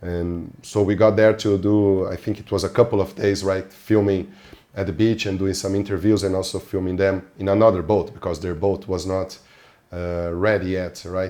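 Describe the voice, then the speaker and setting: A man with a non-native accent, fairly low pitch, monotone, flat intonation and a moderate pace. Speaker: podcast host and film fixer. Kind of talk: casual interview chat.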